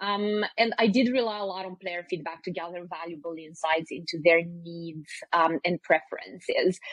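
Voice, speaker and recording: The speaker keeps a moderate pace with hardly any pauses, ordinary pitch variation and big swings in loudness. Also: woman, fairly low pitch for a woman. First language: not English. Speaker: CRM director at a mobile growth consultancy. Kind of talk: podcast interview. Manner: halting, many fillers and restarts.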